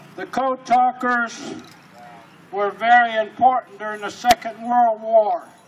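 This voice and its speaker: Over noticeable background noise, a man with an extremely high pitch speaks at a fairly slow pace, with ordinary pitch variation and big swings in loudness. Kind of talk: talk at a pow wow.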